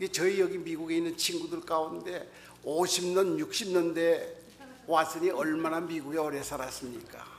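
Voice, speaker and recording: With a slight Pyongan accent and a high pitch, a man speaks at a moderate pace with fairly even intonation, amid noticeable background noise and audible room echo. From North Korea, North Pyongan province. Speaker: pastor. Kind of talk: sermon.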